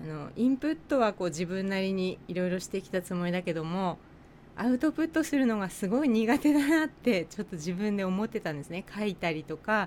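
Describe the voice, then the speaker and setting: Speaking at a fairly quick pace, a woman with a Tochigi accent uses a medium pitch and very wide pitch swings. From Japan, Tochigi. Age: 40s. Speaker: nurse and podcast co-host. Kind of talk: casual chat.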